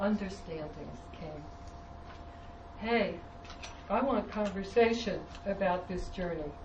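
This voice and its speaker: Against noticeable background noise and audible room echo, a woman talks fairly slowly at a medium pitch with ordinary pitch variation. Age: 60s. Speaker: clinical psychologist introducing the speaker. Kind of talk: introductory talk at a seminar. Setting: seminar room with audience.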